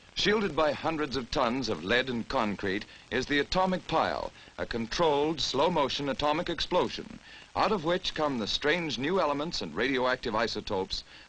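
A man talks at a fairly quick pace with lively intonation. His voice has vocal fry. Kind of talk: newsreel narration.

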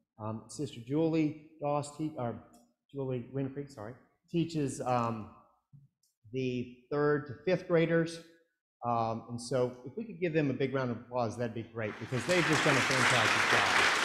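With audible room echo but a quiet background, a man speaks at a fairly slow pace in a bright, sharp tone with ordinary pitch variation. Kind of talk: welcome address to the congregation. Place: church. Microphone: camera far.

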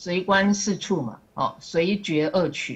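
A woman speaks very slowly in a somewhat breathy voice with ordinary pitch variation. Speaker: student sharing study. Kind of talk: class presentation. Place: classroom. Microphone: podium.

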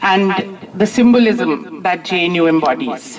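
A female speaker talks against noticeable background noise. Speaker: professor addressing protest gathering. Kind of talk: public speech. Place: street. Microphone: handheld.

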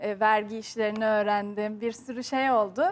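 This woman has an ordinary speaking voice. She talks at a moderate pace with fairly even intonation. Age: 20s. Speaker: YouTuber and university student; YouTuber. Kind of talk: TV talk show interview. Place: studio. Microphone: lapel.

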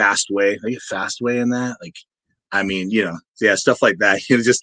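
A man talks at a fairly quick pace in a bright, sharp tone. The sound is dry and close, without echo. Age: 50s. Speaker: metal musician and songwriter. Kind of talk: interview. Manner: casual, filler-heavy.

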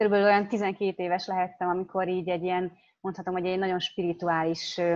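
Against a quiet background, a woman speaks at a very fast pace. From Hungary. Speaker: interpreter. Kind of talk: consecutive interpreting. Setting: video call. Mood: reflective, personal. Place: home room. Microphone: video call.

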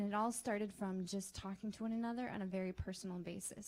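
Soft-spoken, somewhat breathy talk in a flat monotone. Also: woman. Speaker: teacher. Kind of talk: testimony.

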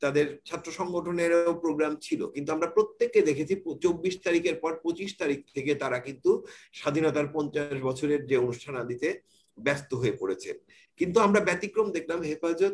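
A man talks in a high pitch with ordinary pitch variation. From Bangladesh, Pabna; Bangladesh. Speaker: journalist. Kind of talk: panel discussion. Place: home room. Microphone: video call.

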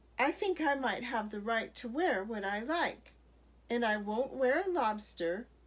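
The speaker has an unforced reading voice with lively intonation.

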